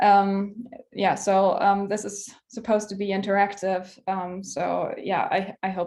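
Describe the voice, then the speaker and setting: This woman talks with a German accent at a fairly slow pace. Her medium-pitched voice stays monotone and flat. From southern Germany, near Munich. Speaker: PhD researcher, workshop speaker. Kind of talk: online workshop lecture. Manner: hesitant, many filler words.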